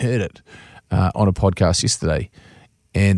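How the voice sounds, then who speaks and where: In a New Zealand accent, a man speaks with a fairly low pitch and ordinary pitch variation, the sound dry and close with no echo over a very clean recording with a silent background. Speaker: radio host. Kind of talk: casual chat. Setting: studio.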